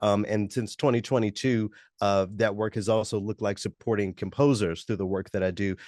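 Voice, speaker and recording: Man with an American accent and fairly low pitch, dry, close sound with no echo, quiet background. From US South, Memphis. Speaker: musician and radio announcer. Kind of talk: interview. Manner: measured, with frequent fillers.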